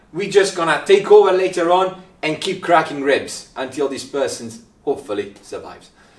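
A man with a high pitch speaks at a moderate pace in a dramatic tone, with ordinary pitch variation. His loudness swings widely, and audible room echo surrounds him. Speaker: paramedic. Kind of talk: angry rant about bad first aid, mimicking bystanders. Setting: video recording to camera. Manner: exasperated, sarcastic, dramatic; animated, mocking voices. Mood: humorous exasperation. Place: empty room.

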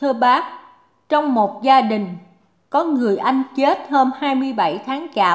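Speaking very slowly, a woman uses lively intonation at a high pitch. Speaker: reader of listener questions. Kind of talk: reading aloud.

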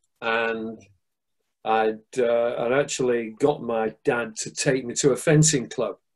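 Over a quiet background, a man speaks at a very slow pace. His pitch varies in an ordinary way. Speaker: guest. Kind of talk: interview answer. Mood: relaxed, amused storytelling. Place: home room. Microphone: video call.

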